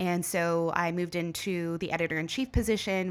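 A woman speaks with a fairly low pitch. The recording is very clean against a silent background. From small-town Ontario, Canada. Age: 30s. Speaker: tourism consultant and entrepreneur. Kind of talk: interview.

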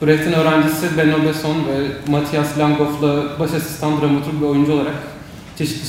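Noticeable background noise and audible room echo surround a man's fairly high-pitched voice. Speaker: student moderator. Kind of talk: moderating a panel. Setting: university panel with audience. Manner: halting.

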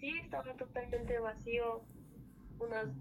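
A woman's fairly high voice at a fairly slow pace, over noticeable background noise. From Ecuador, Andean highlands (Otavalo). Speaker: guest telling a paranormal story. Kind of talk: testimony.

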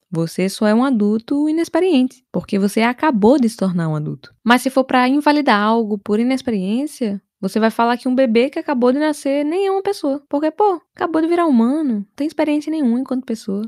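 A woman with a Brazilian accent speaks fast and high, with very wide pitch swings and hardly any pauses. Her pace is fairly quick, and the sound is dry and close with no echo. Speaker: podcast host. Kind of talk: comedic solo podcast monologue.

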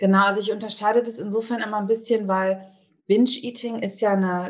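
A woman talks in an ordinary speaking voice at a medium pitch. Her intonation stays fairly even over a quiet background. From Bonn, Germany. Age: 40s. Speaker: eating disorder support group leader. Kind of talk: interview.

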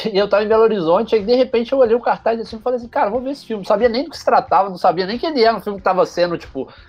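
A man's very fast, high-pitched speech with hardly any pauses, ordinary pitch variation, big swings in loudness and noticeable background noise. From Brazil, Juiz de Fora (Minas Gerais). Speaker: journalist and content creator. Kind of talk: casual interview storytelling.

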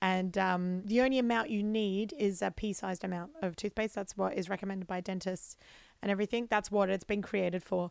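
Someone with an Australian accent speaks at a fairly quick pace with ordinary pitch variation. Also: woman, medium pitch for a woman, very clean recording, silent background. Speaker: comedian and podcast co-host. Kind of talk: casual chat.

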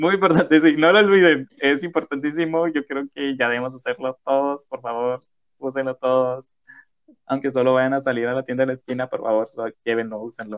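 A man's normal speaking voice, medium in pitch with ordinary pitch variation, at a fairly quick pace. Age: 20s. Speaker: podcast host. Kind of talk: casual chat.

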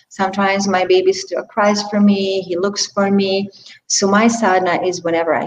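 This woman speaks at a medium pitch in a Hungarian accent. Her intonation is monotone and flat. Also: moderate pace. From Hungary. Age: 40s. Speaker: yoga teacher. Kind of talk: interview. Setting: video call.

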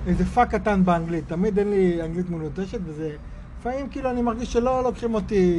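In a room with audible echo, a man speaks at a fairly quick pace with a high pitch and ordinary pitch variation. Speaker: podcast host, emissary. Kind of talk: casual interview. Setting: outdoors.

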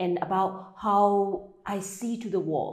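Audible room echo surrounds a voice with a Burmese accent. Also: woman. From Myanmar. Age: 40s. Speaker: meditation coach. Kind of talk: interview.

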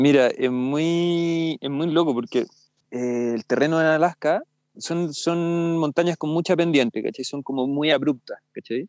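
Speaking at a fairly slow pace, a man with a fairly high voice uses ordinary pitch variation in a dry, close recording with no echo. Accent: Chilean. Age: 30s. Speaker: freeride skier. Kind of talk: casual interview.

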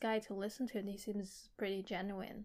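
Moving at a moderate pace, a woman with a fairly high pitch has an unremarkable speaking voice. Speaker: podcast co-host. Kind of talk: casual chat about a book.

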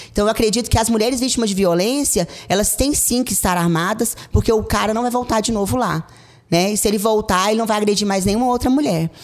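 Music plays behind a woman who talks at a very fast pace with a fairly high pitch and ordinary pitch variation. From Goiás, Brazil. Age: 40s. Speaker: police captain and political candidate. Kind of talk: campaign interview. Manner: halting, with frequent fillers.

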